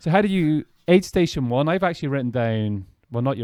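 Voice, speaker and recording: A man's dark, mellow voice with an Irish accent and lively intonation on a very clean recording with a silent background. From Ireland. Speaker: podcast host and ultrarunner. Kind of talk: casual interview.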